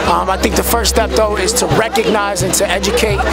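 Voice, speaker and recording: A man's voice, dry with no echo, over loud music in the background. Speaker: interviewee. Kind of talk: interview answer. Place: street. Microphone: phone near.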